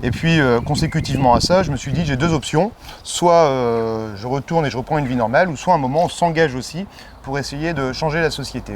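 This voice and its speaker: There's noticeable background noise as a man talks at a fairly quick pace. His pitch is fairly high, with ordinary variation. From northern France, Pas-de-Calais (Béthune). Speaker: election candidate, politician. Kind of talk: interview. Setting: outdoors in a garden. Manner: hesitant, many fillers.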